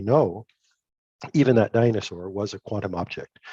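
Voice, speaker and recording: At a fairly quick pace, a man with a medium pitch and a dark, mellow tone speaks with ordinary pitch variation, the sound dry and close with no echo against a quiet background. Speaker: physics professor. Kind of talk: lecture. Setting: video call.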